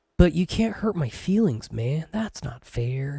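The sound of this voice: This whiny put-on character voice sits at a middle pitch and moves at a fairly slow pace.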